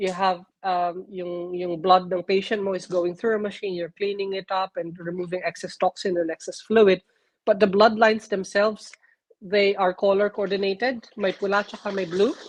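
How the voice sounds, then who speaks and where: A woman with a Filipino accent speaks in a monotone, flat intonation at medium pitch, recorded dry and close with no echo. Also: moderate pace. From Philippines. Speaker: nurse. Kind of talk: interview. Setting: live stream. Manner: halting.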